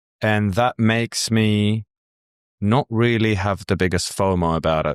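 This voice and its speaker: A man with an Australian accent speaks at a fairly slow pace with very even loudness, in a very clean, dry, close recording with a silent background and no echo. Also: fairly low pitch for a man, ordinary pitch variation. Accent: Australian twang. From Turkey, Izmir, then Australia. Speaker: fashion model. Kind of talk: interview.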